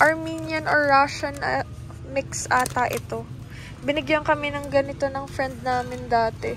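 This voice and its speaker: Over clear music in the background, a woman speaks at a moderate pace with a dry sound and no echo. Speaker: vlogger filming. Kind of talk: casual vlog chat. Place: shop. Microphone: phone near.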